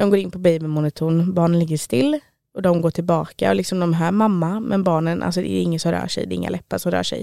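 On a very clean recording with a silent background, a woman speaks at a fairly quick pace with a fairly low pitch, a dark, mellow tone and ordinary pitch variation. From Stockholm, Sweden. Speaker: self-employed witch and medium. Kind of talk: interview.

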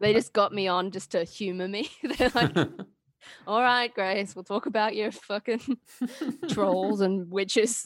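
An Australian accent at a fairly slow pace. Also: woman, medium pitch for a woman, ordinary pitch variation. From Queensland, Australia. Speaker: podcast guest. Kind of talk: casual chat.

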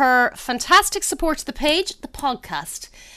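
A woman projects her voice, raising it at a high pitch. Her tone is bright and sharp. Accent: Irish. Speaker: food podcast host. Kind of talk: casual chat.

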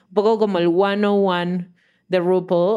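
This woman speaks at a medium pitch with a dark, mellow tone. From Venezuela, Caracas. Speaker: podcast host and producer. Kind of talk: casual chat.

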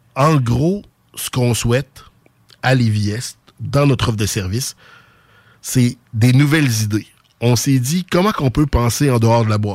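With a Quebec City accent, a man speaks at a medium pitch with ordinary pitch variation, at a fairly slow pace with long, frequent pauses. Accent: Quebec City (Sainte-Foy). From Quebec (Sainte-Foy, Quebec City). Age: 40s. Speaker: youth soccer club director. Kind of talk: radio interview.

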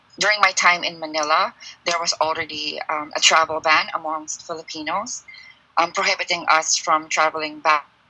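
A woman talks with a very deep, low pitch and fairly even intonation. Noticeable background noise runs under her voice. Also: moderate pace. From Philippines. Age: 20s. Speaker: fashion designer and design teacher. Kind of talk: personal testimony.

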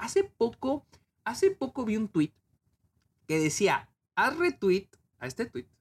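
With a dry, close sound and no echo, a man speaks at a high pitch with very wide pitch swings. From Mexico, Chihuahua. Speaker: film critic podcaster. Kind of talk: casual review monologue. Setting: home video recording. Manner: unscripted, hesitant with repetitions.

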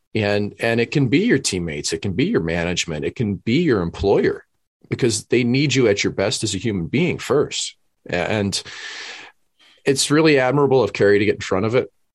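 Against a quiet background, a man with a plain, everyday voice speaks fairly quickly at a medium pitch with lively intonation. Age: 30s. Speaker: podcast co-host, former pro hockey goaltender. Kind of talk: casual chat.

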